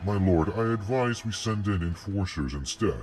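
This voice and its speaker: Over clear music, a man puts on a character voice with a fairly low pitch, going at a moderate pace. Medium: audio drama. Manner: formal, deferential.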